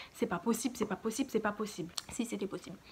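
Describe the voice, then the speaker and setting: The speaker here is a woman. Her pitch moves with ordinary variation. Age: 20s. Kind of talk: casual storytime talk to camera.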